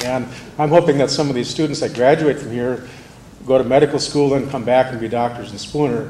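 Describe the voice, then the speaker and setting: A man talks at a fairly quick pace in a medium pitch, his intonation fairly even but his loudness swinging widely. Noticeable background noise and audible room echo surround him. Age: 60s. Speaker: manufacturing company manager speaking at public forum. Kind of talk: public forum speech. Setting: school auditorium.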